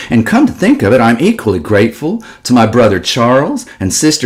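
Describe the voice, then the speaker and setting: A man's medium-pitched, somewhat breathy voice moves through very wide pitch swings. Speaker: political speaker. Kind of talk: speech.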